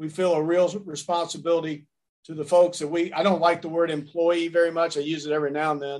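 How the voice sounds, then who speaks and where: A man speaks very fast in a high voice. His intonation stays monotone and flat. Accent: Tennessee. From US South, Nashville, Tennessee. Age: 60s. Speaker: sports sales executive. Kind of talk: interview. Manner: halting, many fillers.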